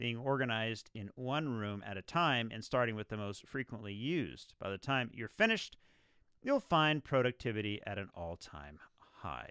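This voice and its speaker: A man speaks at a medium pitch with lively intonation and a moderate pace. He has a plain, everyday voice. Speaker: radio show host. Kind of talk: live radio show host monologue.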